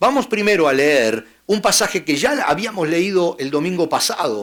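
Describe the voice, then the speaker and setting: A plain, everyday voice with lively intonation at a fairly slow pace. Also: man. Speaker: pastor. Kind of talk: sermon.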